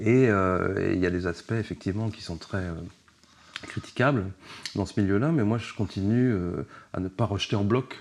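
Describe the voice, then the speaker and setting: Long, frequent pauses mark this man's moderate pace, his fairly low pitch carrying ordinary pitch variation. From Paris region, France. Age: 60s. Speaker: journalist and author. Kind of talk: casual interview. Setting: at the guest's home.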